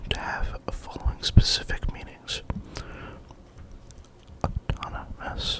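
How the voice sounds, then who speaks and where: The whispering proceeds fairly slowly. Background noise is noticeable throughout. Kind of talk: ASMR whisper reading of an encyclopedia article. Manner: whispered, close-mic.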